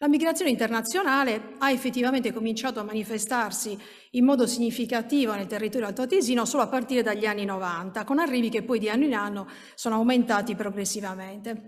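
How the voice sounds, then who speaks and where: A woman at a fairly high pitch, very fast pace and ordinary pitch variation, with a quiet background. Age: 50s. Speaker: minority rights researcher; conference presenter. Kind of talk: conference talk. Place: hall.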